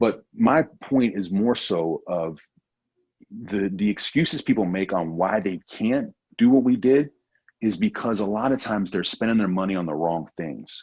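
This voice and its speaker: Using lively intonation at a moderate pace, a man with a fairly low pitch has an ordinary speaking voice. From USA, military family, moved around. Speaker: world traveler and travel show host. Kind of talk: podcast interview. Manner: casual, many filler words.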